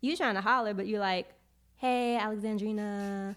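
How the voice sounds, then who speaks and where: Speaking at a moderate pace, a woman with a New York accent is heard in a very clean recording with a silent background. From Brooklyn, New York (Flatbush). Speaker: poet. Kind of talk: casual chat.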